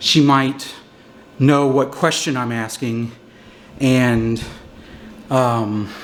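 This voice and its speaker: A man speaks at a very slow pace with fairly even intonation, long and frequent pauses, and audible room echo. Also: medium pitch for a man. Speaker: paranormal investigator. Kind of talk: explanatory commentary during investigation. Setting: inside old jail, echoey metal cell block. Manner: hesitant with fillers; soft-spoken.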